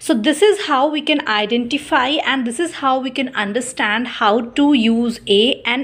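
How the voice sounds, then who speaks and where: In an Indian accent, a woman talks at a fairly slow pace. Her high pitch shows ordinary variation. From India, Chhattisgarh. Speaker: teacher. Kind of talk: teaching demo lesson. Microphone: phone near.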